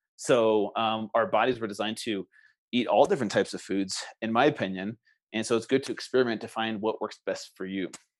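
With an ordinary speaking voice, a man talks at a fairly quick pace in a medium pitch, his pitch varying in an ordinary way. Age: 40s. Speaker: health and wellness coach. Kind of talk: interview.

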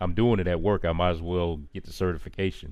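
A very deep, low-pitched man's voice with an American accent and fairly even intonation. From US South, Charlotte, North Carolina. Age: 40s. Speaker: cybersecurity engineer and podcast host. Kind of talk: casual interview chat. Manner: hesitant, many fillers and repetitions.

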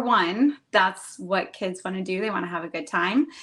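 A woman's voice at a medium pitch. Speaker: community relations and social media manager. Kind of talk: casual interview.

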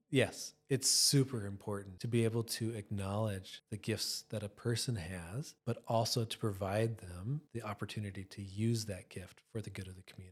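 Somewhat breathy speech in an American accent, at a moderate pace with hardly any pauses, fairly even intonation and big swings in loudness, on a very clean recording with a silent background. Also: man, fairly low pitch for a man. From US Midwest, Minnesota. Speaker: youth ministry leader. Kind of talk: casual interview. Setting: studio.

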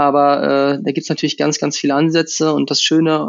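In a fairly high voice, a man talks at a fairly quick pace with monotone, flat intonation. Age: 20s. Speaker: professional triathlete. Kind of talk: interview. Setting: at home on the couch.

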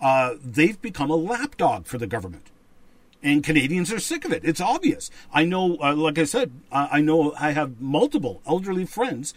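With an unremarkable speaking voice, a man talks at a moderate pace, his fairly high pitch carrying lively intonation. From rural Canada. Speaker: podcast co-host. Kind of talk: casual chat and commentary. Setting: livestream studio on camera.

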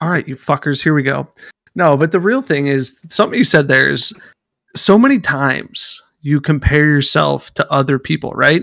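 A man with an animated tone at a moderate pace, in a dry, close sound with no echo. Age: 30s. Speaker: podcast co-host. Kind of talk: casual chat.

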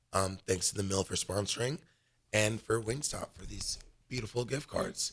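A man with an American accent speaks at a medium pitch, his voice somewhat breathy and his pitch rising and falling in an ordinary way. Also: moderate pace. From Los Angeles, California. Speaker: college gymnast and radio co-host. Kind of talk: casual chat. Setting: live radio studio show.

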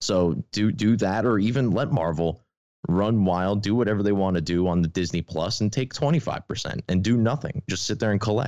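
A man with a fairly low pitch speaks at a fairly quick pace in a plain, everyday voice, with ordinary pitch variation and a quiet background. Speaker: podcast guest and film fan. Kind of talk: casual chat.

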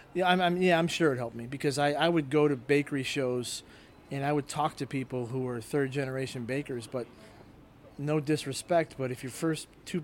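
Speaking at a very fast pace, a man uses a fairly high pitch. His intonation stays fairly even. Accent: Chicago. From Chicago south suburbs. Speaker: restaurant owner and baker. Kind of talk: interview. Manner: halting.

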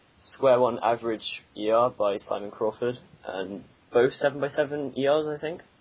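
With noticeable background noise behind him, a man speaks at a fairly slow pace, medium pitch and ordinary pitch variation. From southwest England. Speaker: podcast co-host. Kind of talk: casual chat.

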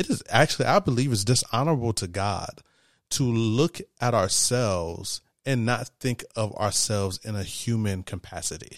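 A man speaks at a moderate pace in a medium-pitched voice with an animated tone and ordinary pitch variation, in a very clean recording with a silent background. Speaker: podcast host. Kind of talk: casual chat.

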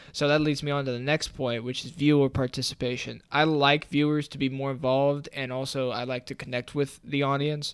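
A man with an American accent speaks at a fairly high pitch in monotone, flat intonation. His pace is fairly quick, with hardly any pauses. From Philadelphia, Pennsylvania. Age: 20s. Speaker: podcast host, college student. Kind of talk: solo podcast monologue. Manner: casual.

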